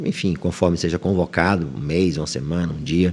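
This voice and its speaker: A man is speaking. His pace is fairly quick. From Bahia, northeastern Brazil (Itaberaba). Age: 60s. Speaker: high court judge. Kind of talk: interview.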